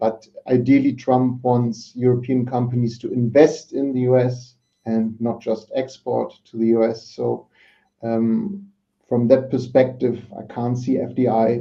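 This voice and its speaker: A man with a German accent speaks at a medium pitch and a moderate pace. His intonation is monotone and flat, broken by long, frequent pauses. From Germany. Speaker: market analyst. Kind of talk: panel discussion. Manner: hesitant, many fillers.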